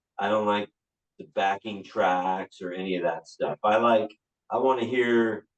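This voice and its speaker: A man's plain, everyday voice, fairly low and fairly slow, with fairly even intonation and a dry, close sound free of echo. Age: 60s. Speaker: rock singer and band leader. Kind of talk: casual interview chat. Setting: podcast interview.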